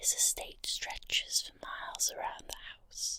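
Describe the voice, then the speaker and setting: Whispering at a fairly slow pace. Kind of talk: guided visualization ghost story. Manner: soft-spoken.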